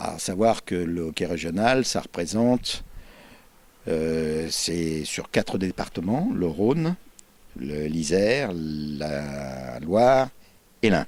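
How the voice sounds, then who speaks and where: The voice moves at a very slow pace while its pitch swings very widely. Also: man. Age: 70s. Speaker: regional sports league president. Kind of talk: interview. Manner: halting.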